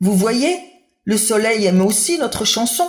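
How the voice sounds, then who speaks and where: A put-on character voice with a fairly high pitch at a moderate pace. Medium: read story.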